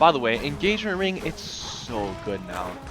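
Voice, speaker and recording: A man at a moderate pace, lively intonation, music playing behind him. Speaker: gamer, speedrunner. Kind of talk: gameplay commentary voiceover. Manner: casual, rambling, many fillers.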